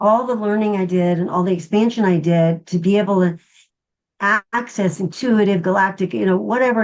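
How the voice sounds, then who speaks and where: Against a quiet background, a woman talks fairly quickly in a normal speaking voice with ordinary pitch variation. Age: 60s. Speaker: nonprofit worker and intuitive healer. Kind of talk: casual chat.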